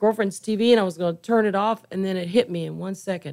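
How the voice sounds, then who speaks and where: A woman speaks with an American accent at a medium pitch, in an ordinary speaking voice. Her intonation stays fairly even. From Kansas. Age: 60s. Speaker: forensic artist. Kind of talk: interview. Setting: radio studio.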